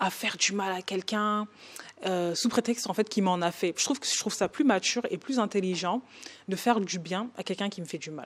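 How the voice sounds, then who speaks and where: The woman talks in a medium-pitched voice whose pitch varies in an ordinary way. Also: fairly quick pace. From northern France, Oise. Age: 20s. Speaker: podcast guest. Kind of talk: interview testimony. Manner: hesitant, many fillers.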